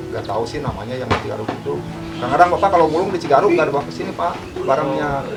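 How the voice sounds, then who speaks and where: A man talking at a very fast pace, fairly high in pitch, with very wide pitch swings and music in the background. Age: 50s. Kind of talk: interview answer.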